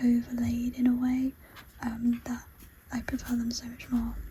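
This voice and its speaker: A soft-spoken woman talks at a very slow pace in a high pitch over noticeable background noise. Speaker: ASMR creator. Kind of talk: soft-spoken ASMR show and tell.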